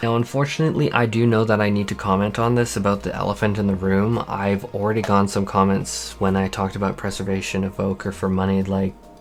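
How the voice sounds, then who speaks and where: Over noticeable background noise, a man speaks at a fairly quick pace in a fairly low pitch, with ordinary pitch variation. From Canada. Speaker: gaming YouTuber. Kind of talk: casual vlog monologue. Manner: stuttering.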